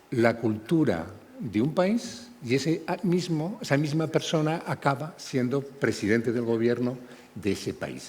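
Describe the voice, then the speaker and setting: With vocal fry and very wide pitch swings, a man speaks at a fairly slow pace. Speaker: panel moderator. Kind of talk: moderated panel discussion. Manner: halting, many repetitions.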